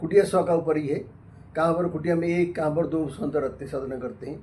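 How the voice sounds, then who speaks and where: A man's voice, high in pitch. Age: 80s+. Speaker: ascetic monk. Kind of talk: interview.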